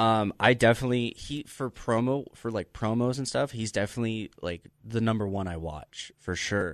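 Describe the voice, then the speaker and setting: A plain, everyday voice with ordinary pitch variation and hardly any pauses, set against a quiet background. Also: man, medium pitch for a man, moderate pace. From Las Vegas, US. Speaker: pro wrestler. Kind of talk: casual chat. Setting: studio.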